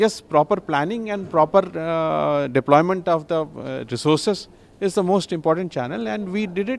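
A man's high-pitched voice with lively intonation at a moderate pace, dry with no echo, over light background noise. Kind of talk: interview answer. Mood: proud, informative. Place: station. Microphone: handheld.

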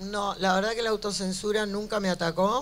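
Here a woman speaks with a Buenos Aires accent. Her pace is fairly slow. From Buenos Aires, Argentina. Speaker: cartoonist. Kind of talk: live interview answer before an audience. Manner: brash, outspoken, humorous. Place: hall. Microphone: handheld.

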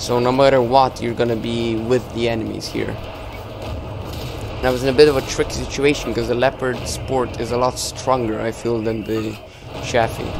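A man's medium-pitched, monotone, flat delivery amid noticeable background noise. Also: moderate pace. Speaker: gaming YouTuber. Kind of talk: gameplay commentary. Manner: filler-heavy, hesitant.

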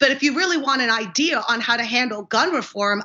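A woman's high-pitched voice at a moderate pace over a quiet background. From mixed upbringing abroad, then US (California). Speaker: political candidate, navy veteran lawyer; candidate. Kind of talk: interview. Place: home room. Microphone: video call.

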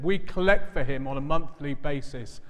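A man speaks with lively intonation at a moderate pace, and the background is quiet. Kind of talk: church announcements. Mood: warm, joking. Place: church.

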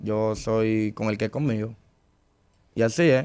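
A man with a Dominican accent and fairly even intonation. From Dominican Republic. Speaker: urban music artist. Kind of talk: interview. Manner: calm, patient. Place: studio. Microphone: studio mic.

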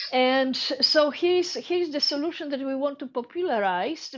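In a Polish accent, the speaker goes at a moderate pace with ordinary pitch variation against a quiet background. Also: woman. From Poland. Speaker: space entrepreneur. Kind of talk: audience question during Q&A. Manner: halting.

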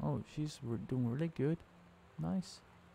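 Soft-spoken and at a fairly slow pace, a man talks at medium pitch with a dark, mellow tone. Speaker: gaming streamer. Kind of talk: let's play commentary.

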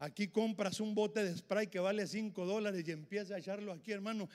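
A man talks in an animated tone with a high pitch. The background is quiet. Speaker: preacher. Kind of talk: sermon. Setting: church with congregation. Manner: animated, emphatic; repetitive, punchy, with frequent 'hermano'. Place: church. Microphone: handheld.

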